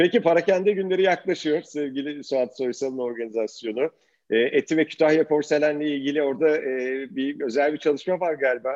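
A normal speaking voice at a fairly quick pace with ordinary pitch variation, over a quiet background. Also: man, fairly high pitch for a man. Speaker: podcast host. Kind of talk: interview.

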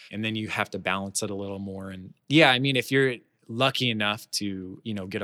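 A man with an American accent speaks at a fairly low pitch with fairly even intonation and a bright, sharp tone. The recording is very clean, with a silent background. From Florida (Orlando). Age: 20s. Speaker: lighting technician. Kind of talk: interview.

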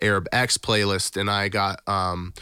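A man's fairly low voice with a bright, sharp tone, monotone, flat intonation, and an American accent. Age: 20s. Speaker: musician and music producer. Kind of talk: casual chat. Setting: video call.

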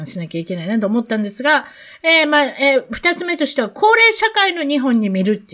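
On a very clean recording with a silent background, a woman speaks very fast with very wide pitch swings. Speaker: podcast host. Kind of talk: casual interview chat.

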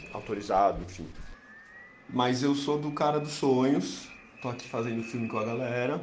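Over noticeable background noise, a man talks at a fairly slow pace and a medium pitch. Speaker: filmmaker. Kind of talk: personal account.

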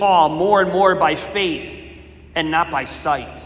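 Over noticeable background noise, a man speaks in a high pitch and warm tone with ordinary pitch variation. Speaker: prayer leader. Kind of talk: fervent prayer, devotional. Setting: church chapel, Eucharistic adoration. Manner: earnest, pleading, impassioned; warm, conversational, reverent.

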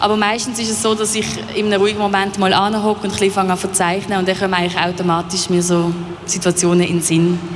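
A woman with a Basel accent talks at a very fast pace in a flat monotone and a medium pitch. Noticeable background noise and audible room echo fill the recording. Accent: Basel Swiss German. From Basel, Switzerland. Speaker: painter. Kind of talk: radio interview. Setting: live at exhibition hall.

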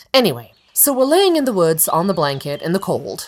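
A woman at a fairly quick pace with very wide pitch swings. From Germany. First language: German. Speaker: actress and podcast host. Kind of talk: personal storytelling monologue.

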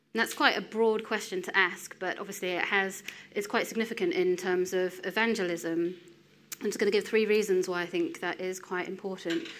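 A woman with an English accent speaks at a fairly quick pace and medium pitch, with fairly even intonation. Audible room echo surrounds her voice. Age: 30s. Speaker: lay preacher. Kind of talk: sermon.

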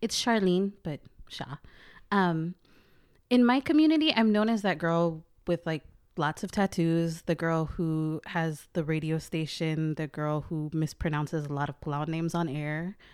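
The woman has an unremarkable speaking voice and a fairly low pitch, with ordinary pitch variation, at a fairly slow pace. The recording is very clean, with a silent background. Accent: American. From US Pacific Northwest (Portland, Oregon), Palauan family. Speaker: digital activist and podcast host. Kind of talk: casual interview.

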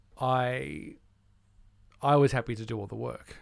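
With an Australian accent, a man speaks at a fairly slow pace in a medium pitch with lively intonation. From Australia, Melbourne. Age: 40s. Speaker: musician and music producer. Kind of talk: casual chat.

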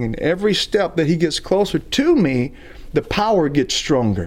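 A man speaks with a Southern US accent in a high voice. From US South, Alabama. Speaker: traveling evangelist. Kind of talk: testimony.

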